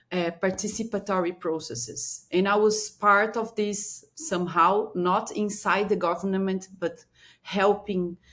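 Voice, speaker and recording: With a Brazilian Portuguese accent, a woman speaks at a fairly slow pace and medium pitch, showing ordinary pitch variation. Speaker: strategic planning consultant. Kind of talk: interview. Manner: halting.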